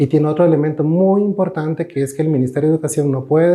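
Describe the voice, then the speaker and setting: Pitched fairly high for a man, his voice has a dark, mellow tone and ordinary pitch variation. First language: Cabécar (speaking Spanish). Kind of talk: interview.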